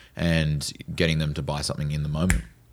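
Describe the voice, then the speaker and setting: A man with an Australian accent speaks in a very deep, low voice. His pace is fairly quick and his intonation fairly even, in a very clean recording with a silent background. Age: 20s. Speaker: door-to-door sales manager and podcast host. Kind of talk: casual interview chat.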